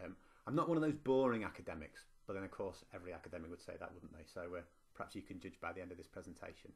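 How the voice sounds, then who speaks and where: At a very fast pace, a man with a very deep, low pitch speaks with lively intonation, big swings in loudness and a somewhat breathy quality. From northwest England, Preston. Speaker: university lecturer and teacher. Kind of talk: conference presentation.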